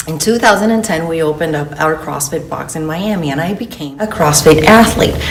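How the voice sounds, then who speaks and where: With noticeable background noise and audible room echo, a woman talks in a fairly low pitch with lively intonation. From Venezuela. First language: Spanish. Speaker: fitness coach. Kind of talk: promotional orientation talk.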